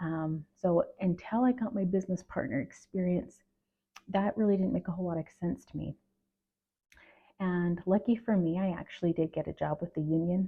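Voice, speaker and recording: A woman talks quietly at a moderate pace. Her pitch is fairly low and her intonation fairly even. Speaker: HR professional and video creator. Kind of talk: casual talk to camera. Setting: at home at night. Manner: halting with fillers.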